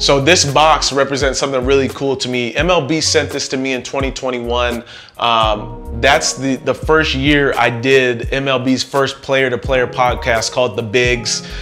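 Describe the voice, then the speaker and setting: With faint music in the background, a man talks at a moderate pace with hardly any pauses and fairly even intonation. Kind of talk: casual vlog chat. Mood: warm, reflective. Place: home room. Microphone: lapel.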